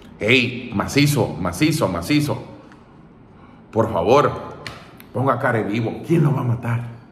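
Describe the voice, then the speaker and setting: A man speaks in an animated tone at a fairly slow pace. Audible room echo and light background noise surround him. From El Salvador. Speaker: political commentator; political commentator streamer. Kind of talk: casual monologue. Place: home room. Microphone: phone near.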